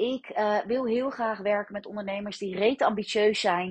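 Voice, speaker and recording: A somewhat breathy voice speaks at a moderate pace with ordinary pitch variation. The sound is dry and close, with no echo. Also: woman. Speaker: business mentor. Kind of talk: solo podcast monologue.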